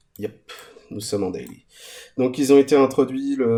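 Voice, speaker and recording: A man speaks at a moderate pace in a dark, mellow tone, his intonation fairly even. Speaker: crypto YouTuber. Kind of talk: screen-share tutorial. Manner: hesitant, many fillers.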